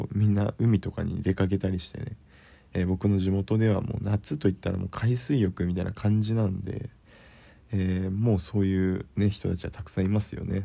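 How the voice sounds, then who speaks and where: At a moderate pace, the voice carries a dark, mellow, relaxed, calm tone with fairly even intonation. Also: man. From Kyushu, Japan. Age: 20s. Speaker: podcaster, office worker. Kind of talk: casual solo talk.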